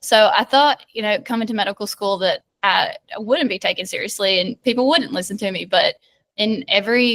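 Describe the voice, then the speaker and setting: A woman's fairly high, bubbly voice in a strong Southern US accent, with a dry, close sound and no echo. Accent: thick Southern US. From US South, rural south Georgia. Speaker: medical student. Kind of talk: casual interview chat. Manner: loud, bubbly.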